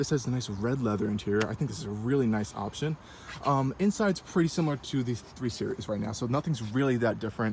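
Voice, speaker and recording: Somewhat breathy, a man talks at a very fast pace with lively intonation. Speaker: car reviewer. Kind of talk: casual walkaround car review. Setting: at a car dealership. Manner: casual with many fillers.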